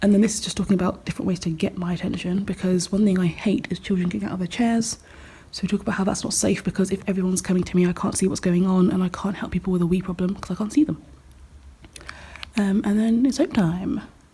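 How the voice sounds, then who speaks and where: Speaking at a very fast pace, a woman has a medium pitch, a dark, mellow tone and a somewhat breathy quality. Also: ordinary pitch variation. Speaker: primary school teacher. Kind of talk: vlog.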